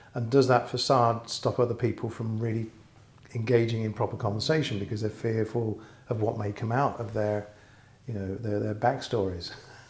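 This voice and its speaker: Somewhat breathy male speech at a medium pitch, flat and monotone, at a moderate pace. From England. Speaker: interviewer. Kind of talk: interview question.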